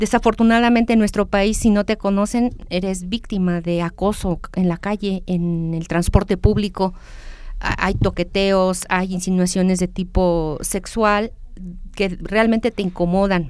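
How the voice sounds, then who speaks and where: In a normal speaking voice, a woman talks fairly slowly at a medium pitch with fairly even intonation. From Mexico. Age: 50s. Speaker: university lecturer. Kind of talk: interview.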